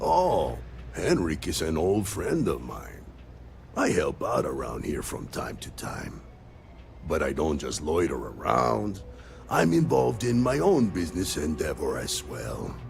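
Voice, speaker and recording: A man performs a put-on character voice at a fairly slow pace, with clear background noise behind him. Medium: video game. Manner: polite, measured.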